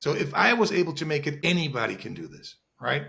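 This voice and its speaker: A man with a non-native accent and a bright, sharp tone. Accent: foreign. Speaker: real estate investor. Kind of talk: interview.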